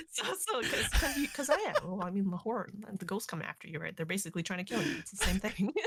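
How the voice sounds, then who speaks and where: A woman at a very fast pace with lively intonation and hardly any pauses, over noticeable background noise. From Canada, Toronto. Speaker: streamer and actor, podcast guest. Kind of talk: casual chat. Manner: animated, high energy.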